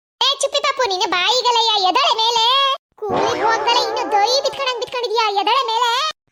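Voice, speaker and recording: This woman uses a cartoonish character voice pitched extremely high. She keeps a moderate pace and fairly even intonation. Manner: gruff, scolding.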